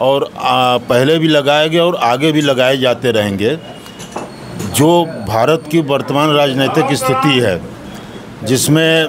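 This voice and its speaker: Ordinary pitch variation at a very even loudness, over noticeable background noise. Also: man, fairly high pitch for a man. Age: 60s. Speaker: local commentator. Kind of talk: street interview. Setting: at a tea shop.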